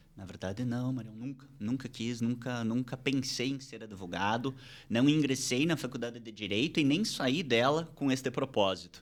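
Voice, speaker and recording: The recording is very clean, with a silent background. A man of medium pitch speaks at a moderate pace. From interior of São Paulo state, Brazil. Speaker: criminal lawyer and law professor. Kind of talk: interview. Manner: hesitant, repeats words.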